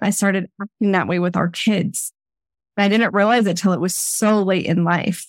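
This woman has a normal speaking voice, medium in pitch, delivered at a moderate pace with fairly even intonation and very even loudness. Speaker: podcast host. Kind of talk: interview conversation. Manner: warm, encouraging.

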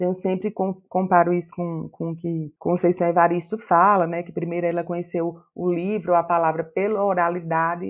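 A woman's fairly low voice with a northeastern Brazilian accent, monotone and flat in intonation, at a moderate pace with hardly any pauses. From Paraíba, Campina Grande. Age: 40s. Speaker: writer. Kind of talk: interview.

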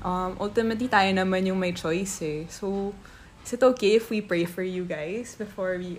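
Speaking at a moderate pace, a woman uses a medium pitch with ordinary pitch variation and a somewhat breathy sound. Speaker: guest, host's sister. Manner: earnest, tender, heartfelt.

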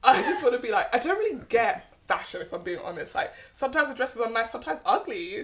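Very fast speech comes from a woman with a British accent. Her pitch is high and swings very widely. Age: 20s. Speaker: podcast co-host. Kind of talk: casual chat.

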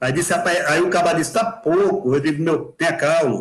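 A high-pitched male voice with ordinary pitch variation at a moderate pace. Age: 60s. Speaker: amateur marathon runner. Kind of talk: live video chat. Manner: animated.

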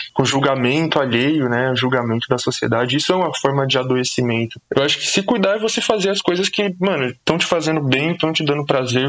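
A man with a medium pitch talks fairly quickly while background noise is noticeable. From Brazil, São Paulo (Zona Norte, Brasilândia). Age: 20s. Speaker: social sciences student and YouTuber. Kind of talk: casual podcast conversation.

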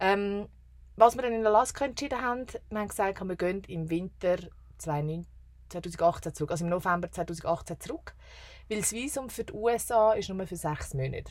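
At a moderate pace, a woman speaks in a normal speaking voice, medium in pitch with lively intonation. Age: 30s. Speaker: travel podcaster. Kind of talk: casual chat.

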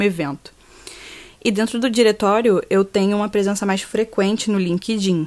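A woman is speaking. She has a plain, everyday voice. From Rio de Janeiro, Brazil. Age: 20s. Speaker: university student. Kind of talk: podcast interview.

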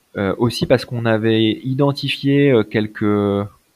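Here a man uses a normal speaking voice at medium pitch with ordinary pitch variation. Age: 30s. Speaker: entrepreneur. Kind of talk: interview.

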